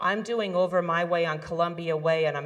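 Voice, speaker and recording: With noticeable background noise, a woman talks at a moderate pace in a very deep, low pitch with ordinary pitch variation. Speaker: community fire safety organizer. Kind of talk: community meeting presentation. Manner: loud.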